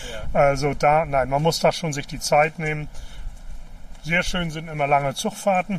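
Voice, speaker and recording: A man speaks at a moderate pace in a fairly high pitch, his intonation fairly even. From East Germany, Mecklenburg-Vorpommern. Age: 60s. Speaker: politician. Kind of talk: interview on a walk. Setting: outdoors, walking by a river.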